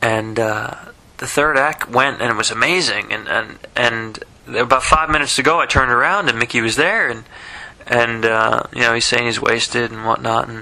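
A man is speaking here. His pace is moderate and his pitch variation ordinary. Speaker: diarist recording a personal voice memo; vlogger. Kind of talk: personal audio diary, late-night recollection. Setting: alone, speaking into a voice recorder late at night. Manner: halting, many fillers and repetitions. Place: home room. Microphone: phone near.

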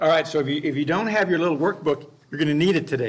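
Here a man speaks at a very fast pace. His intonation stays fairly even. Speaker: Bible class teacher. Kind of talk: lecture. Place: classroom.

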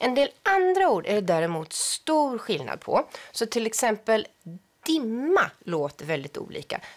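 Over a quiet background, a woman speaks at a fairly slow pace, her fairly high pitch swinging very widely. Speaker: language researcher. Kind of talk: educational explanation. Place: studio. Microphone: lapel.

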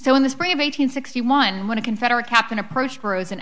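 Against a quiet background, a plain, everyday voice with an American accent moves at a fairly quick pace with ordinary pitch variation. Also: woman. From Philadelphia, US. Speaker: author; author on panel. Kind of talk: book talk. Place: hall. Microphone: podium.

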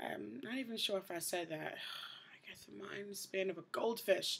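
Quiet and fairly slow, a woman with an American accent speaks at medium pitch with ordinary pitch variation. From New York City, the Bronx. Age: 20s. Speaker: vlogger. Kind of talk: casual video diary. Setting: indoors at night, host family's house. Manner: hushed, trying to keep quiet. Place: home room. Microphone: webcam.

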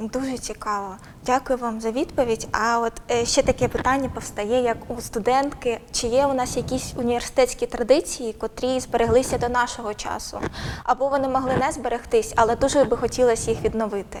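Over noticeable background noise, a woman with a high-pitched voice speaks at a fairly quick pace in a monotone, flat way. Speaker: interviewer. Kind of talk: interview. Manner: formal.

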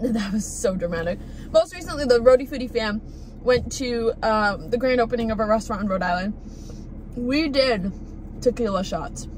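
A woman talks at a moderate pace with long, frequent pauses, in a dry sound with no echo over light background noise. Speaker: food vlogger. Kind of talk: casual vlog chat. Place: car. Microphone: phone near.

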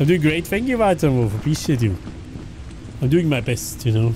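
Over faint music in the background, a man with a Swiss accent talks at a moderate pace in a fairly high pitch with lively intonation. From German-speaking Switzerland. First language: Swiss German. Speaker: video game streamer. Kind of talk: live gaming stream chat. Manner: animated.

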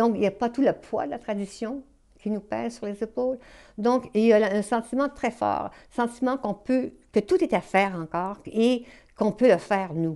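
A woman with a Quebec accent has a fairly high pitch and a dark, mellow tone. Her pitch varies in an ordinary way over a quiet background. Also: moderate pace. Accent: Québécois French. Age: 70s. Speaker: novelist. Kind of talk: interview. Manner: halting. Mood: calm, thoughtful.

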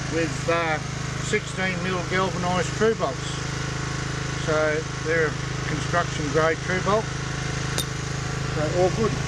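Loud background noise surrounds a man speaking at a very slow pace. The sound is dry with no echo. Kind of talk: interview answer. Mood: relaxed, matter-of-fact. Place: forest. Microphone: phone near.

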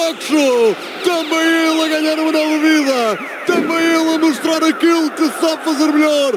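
A man shouts in a theatrical, dramatic tone at an extremely high pitch, with very even loudness and a moderate pace. The sound is dry with no echo, and there is noticeable background noise. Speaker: radio commentator. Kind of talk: live football commentary, radio. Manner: theatrical, dramatic, poetic exclamations; explosive, loud goal shouts. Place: stadium.

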